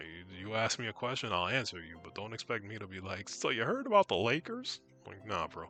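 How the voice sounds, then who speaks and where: A man speaking at a fairly quick pace with ordinary pitch variation and big swings in loudness, music in the background. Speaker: video game streamer. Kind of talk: casual gameplay commentary. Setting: live stream. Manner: casual.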